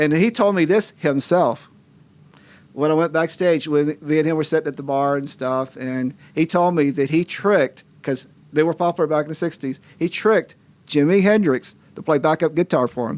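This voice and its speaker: A man speaks at a moderate pace in a fairly high pitch, with an American accent. He has a plain, everyday voice with ordinary pitch variation. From US South. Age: 60s. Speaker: painting specialist and karaoke host. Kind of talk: casual chat.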